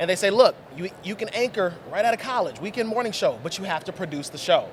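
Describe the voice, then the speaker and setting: Over noticeable background noise, a man talks at a very fast pace. His voice is high, with ordinary pitch variation. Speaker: TV talk show host. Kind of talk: casual interview. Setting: convention floor.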